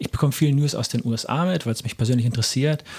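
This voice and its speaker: A man speaks in a somewhat breathy voice. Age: 30s. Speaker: podcast host. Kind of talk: interview conversation. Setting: in person, recorded in Erlangen.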